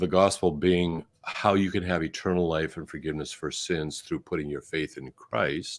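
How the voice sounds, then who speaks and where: In a very clean recording with a silent background, a man with a Canadian accent talks at a fairly slow pace in a very deep, low voice. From Canada. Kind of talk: interview conversation. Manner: halting, many fillers.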